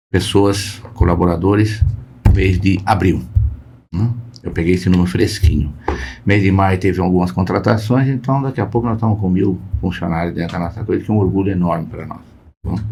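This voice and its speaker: Audible room echo surrounds a man who speaks at a fairly low pitch and a moderate pace, his pitch varying in an ordinary way. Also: long, frequent pauses. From Brazil, interior of Paraná, then São Paulo. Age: 70s. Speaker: company founder and board advisor. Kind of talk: podcast interview. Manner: halting, with repetitions.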